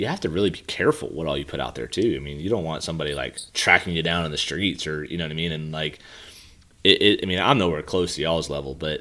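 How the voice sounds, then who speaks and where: Very fast and very deep, a man with an American accent talks in a bright, sharp tone. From Pennsylvania. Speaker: golf coach and podcast host. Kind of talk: podcast interview.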